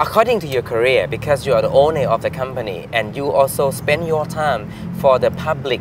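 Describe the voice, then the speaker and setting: A man with a Thai accent talks at a fairly quick pace in a fairly high pitch. His intonation is lively, and there is noticeable background noise. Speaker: talk show host. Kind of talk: interview.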